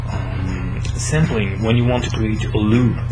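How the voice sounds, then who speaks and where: A man speaks at a very slow pace and medium pitch. There is audible room echo and music in the background. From Belgium. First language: French. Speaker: electronic music producer. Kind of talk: casual webcam Q&A. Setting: webcam recording. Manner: halting, many fillers.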